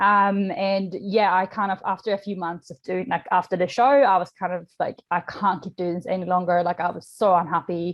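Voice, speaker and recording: The speaker is a woman with a slight Swedish accent. Her voice has a medium pitch. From Sweden. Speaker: nutrition coach. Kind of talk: podcast interview. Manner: casual, many fillers.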